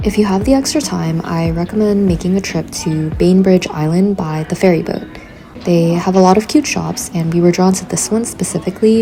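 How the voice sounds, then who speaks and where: A woman speaks at a moderate pace with fairly low pitch. Her pitch varies in an ordinary way, and there is noticeable background noise. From San Francisco. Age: 20s. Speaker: grad student in product design. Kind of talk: vlog voiceover narration.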